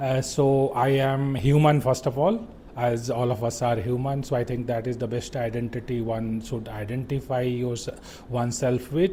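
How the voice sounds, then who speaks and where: The speaker has a Bihari accent and talks at a moderate pace with fairly even intonation. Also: man, medium pitch for a man. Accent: Indian English, Bihari. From India, Bihar. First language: Bhojpuri. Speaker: lawyer and video host. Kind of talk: unscripted monologue. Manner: halting, many fillers.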